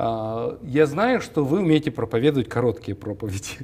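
The intonation here is lively. The speaker is a man. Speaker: TV talk show host. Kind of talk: interview. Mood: warm, smiling, friendly. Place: studio. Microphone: lapel.

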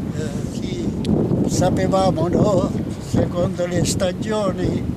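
With loud background noise behind him, the man's voice sounds dry, with no echo at all. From Castro, Salento, southern Italy. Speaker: fisherman. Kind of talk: interview answer. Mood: warm, nostalgic. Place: waterside.

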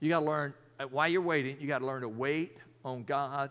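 Ordinary pitch variation runs through speech delivered at a fairly slow pace. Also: man.

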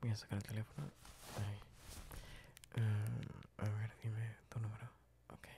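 Long, frequent pauses break up this man's fairly slow, monotone, flat delivery. His fairly low voice is somewhat breathy, with a dark, mellow tone. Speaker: ASMR roleplay creator playing a librarian. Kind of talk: ASMR roleplay, whispered scripted-improvised romantic scene. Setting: library roleplay, close-mic studio recording. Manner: whispering, soft, intimate and close to the mic; hushed, flirty, with shy giggles.

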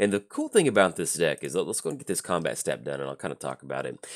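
A man speaks very fast on a very clean recording with a silent background. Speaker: gaming YouTuber. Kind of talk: gameplay commentary.

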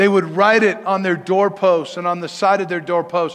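A man with an American accent talks at a moderate pace in a high voice with monotone, flat intonation. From Denver, Colorado. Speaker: pastor. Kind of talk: sermon. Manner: casual, conversational. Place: church.

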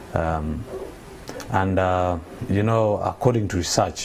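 A man with a very deep, low, somewhat breathy voice talks at a moderate pace with ordinary pitch variation over light background noise. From Uganda. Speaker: nonprofit founder. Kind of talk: TV interview. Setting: TV studio. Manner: hesitant, many fillers. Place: studio.

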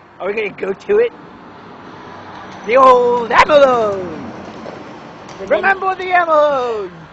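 A man talks in a cartoonish character voice at an extremely high pitch and a moderate pace. Long, frequent pauses break up his speech, and clear background noise can be heard. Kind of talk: improvised comedy with a puppet on a road trip. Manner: silly, naive.

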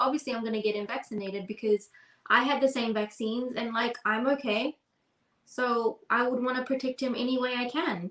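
Audible room echo surrounds a woman with a New Zealand accent speaking at a high pitch with fairly even intonation. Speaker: podcast co-host. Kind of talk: casual chat. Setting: video call. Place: home room. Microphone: webcam.

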